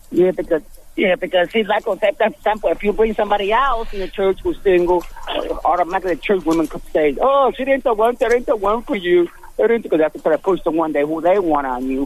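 Over noticeable background noise, a man talks very fast at a high pitch with lively intonation. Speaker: caller. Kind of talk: call-in question.

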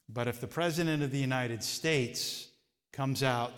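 Over audible room echo, a man at medium pitch talks at a moderate pace with fairly even intonation. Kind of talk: Bible study teaching.

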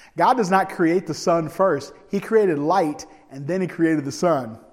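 A man's voice with ordinary pitch variation in audible room echo. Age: 40s. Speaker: evangelist preacher. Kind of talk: sermon.

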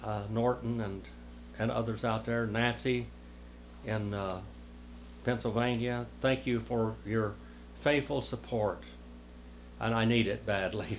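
The speaker has an American accent and talks at a very slow pace. Long pauses come often. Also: man. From United States. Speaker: preacher and church history teacher. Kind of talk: sermon. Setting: church.

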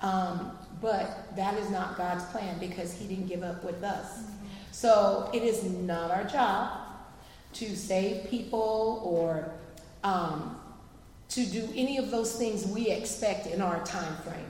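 Over noticeable background noise, a woman at medium pitch speaks at a very slow pace with fairly even intonation. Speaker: schoolteacher and panelist. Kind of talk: church panel discussion. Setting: church stage with audience.

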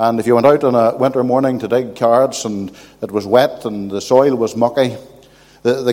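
This man has a Northern Irish accent, a medium-pitched voice with a dark, mellow tone, and fairly even intonation. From Northern Ireland, County Armagh. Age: old. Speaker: visiting preacher. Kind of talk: sermon. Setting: church.

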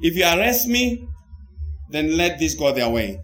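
A man with a high pitch and very wide pitch swings talks at a moderate pace over noticeable background noise. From Zimbabwe. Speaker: pastor. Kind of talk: sermon. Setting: video call. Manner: animated.

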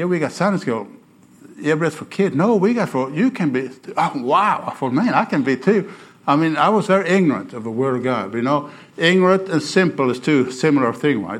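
With a Swedish accent, a man speaks at a moderate pace. His fairly high voice swings very widely in pitch. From Sweden. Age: 60s. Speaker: missionary preacher. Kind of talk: sermon. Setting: church. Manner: animated.

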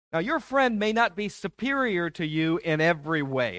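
This man has an American accent and very wide pitch swings. The recording is very clean with a silent background, and the sound is dry and close with no echo. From Detroit, US Midwest. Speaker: pastor. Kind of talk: sermon.

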